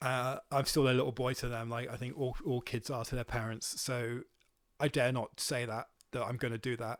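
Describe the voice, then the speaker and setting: A man with a Welsh accent talks in a flat monotone. The recording is very clean, with a silent background. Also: medium pitch for a man, moderate pace. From Wales. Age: 30s. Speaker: volunteer counter-propaganda activist. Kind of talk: podcast interview. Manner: halting, many fillers.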